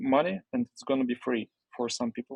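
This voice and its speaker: A man with a Russian accent talks at a fairly high pitch with ordinary pitch variation, the sound dry and close with no echo. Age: 20s. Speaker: entrepreneur. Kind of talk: interview. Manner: halting.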